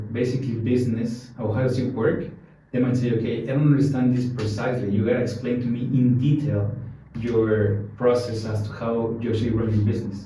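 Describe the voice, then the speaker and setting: A man with a Spanish accent speaks at a fairly quick pace in a medium pitch, his intonation monotone and flat. Audible room echo surrounds him. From Mexico City, Mexico. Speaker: bitcoin ATM business founder. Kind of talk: podcast interview.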